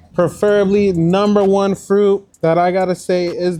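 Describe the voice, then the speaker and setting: Music plays behind a man with a high pitch. His tone is relaxed and his pace moderate. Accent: American. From Florida, Kissimmee, Haitian family. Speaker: rapper. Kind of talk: casual interview chat. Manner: relaxed, laid-back.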